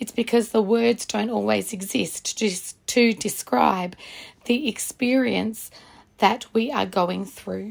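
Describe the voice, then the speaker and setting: A woman speaks in a fairly high pitch with vocal fry. Her pace is fairly slow. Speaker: podcast introducer. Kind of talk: scripted intro and outro.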